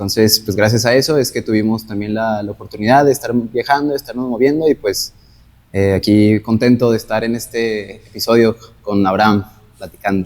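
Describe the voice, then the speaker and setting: Using a plain, everyday voice, a man talks at a moderate pace and medium pitch, his intonation fairly even. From northern Mexico, Gómez Palacio. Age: 20s. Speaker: medical interpreter. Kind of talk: casual chat.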